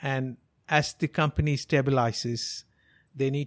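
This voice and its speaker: The intonation is monotone and flat, at a moderate pace. The background is quiet. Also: man, dry, close sound with no echo. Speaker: business consultant. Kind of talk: podcast commentary.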